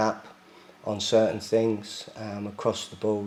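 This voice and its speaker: A man's fairly low, flat, monotone voice at a moderate pace, with noticeable background noise. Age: 60s. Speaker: football club chairman. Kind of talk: interview. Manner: hesitant, many fillers.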